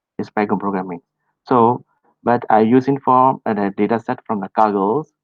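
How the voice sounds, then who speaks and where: At a moderate pace, a man with a Burmese accent speaks in a medium pitch with fairly even intonation. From Myanmar. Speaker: data professional trainer. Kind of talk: online presentation. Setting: online meetup, screen share. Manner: halting, many fillers.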